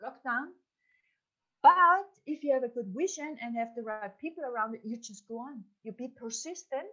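Using a German accent, a woman speaks in a high, bright, sharp voice with lively intonation and big swings in loudness. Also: moderate pace. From Upper Austria. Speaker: entrepreneur and business mentor. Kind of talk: interview. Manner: animated.

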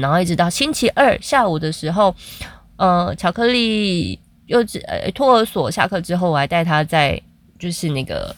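A woman of medium pitch uses a normal speaking voice with lively intonation. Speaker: podcaster, mother. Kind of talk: casual monologue.

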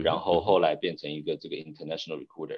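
A man is speaking. The background is quiet. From Taiwan. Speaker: corporate strategy executive. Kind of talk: interview.

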